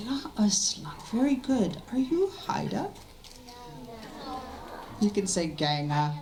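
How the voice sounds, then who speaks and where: Speaking at a very slow pace with long, frequent pauses, a woman swings very widely in pitch over noticeable background noise. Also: medium pitch for a woman. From Haida Gwaii, Canada. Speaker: storyteller. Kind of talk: language lesson for children.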